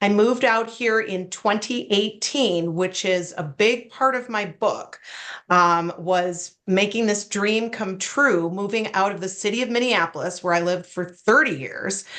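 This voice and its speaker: The voice carries an American accent and ordinary pitch variation. Delivery is fairly slow, with hardly any pauses. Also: woman, medium pitch for a woman. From US Midwest, Wisconsin. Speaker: retired prosecutor and memoir author. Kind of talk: interview.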